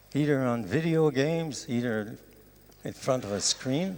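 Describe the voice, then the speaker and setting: Here a man speaks with a Quebec accent at a fairly slow pace. His pitch varies in an ordinary way. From Canada. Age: 70s. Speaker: professor. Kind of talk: lecture.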